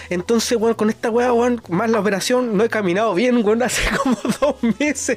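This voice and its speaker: A man with a Chilean accent speaks at a moderate pace in an extremely high pitch, with very even loudness and fairly even intonation over noticeable background noise. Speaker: podcast host; driver. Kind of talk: casual chat.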